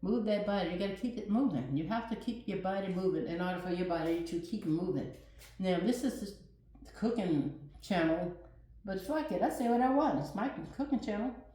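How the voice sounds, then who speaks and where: Amid noticeable background noise and audible room echo, a woman at medium pitch talks at a fairly quick pace in an animated tone with lively intonation. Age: 60s. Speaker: cooking channel host. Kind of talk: casual vlog monologue.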